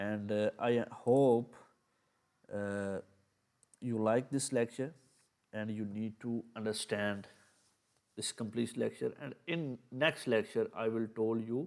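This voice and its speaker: A man with a non-native accent speaks very slowly, leaving long, frequent pauses. His medium pitch holds a fairly even intonation. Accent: non-native English, by own account. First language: Urdu. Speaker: ethical hacking teacher. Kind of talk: tutorial. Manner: halting.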